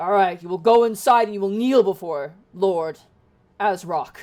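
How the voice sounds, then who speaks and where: Delivered at a moderate pace, a put-on character voice sits at a middle pitch. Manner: stern, commanding.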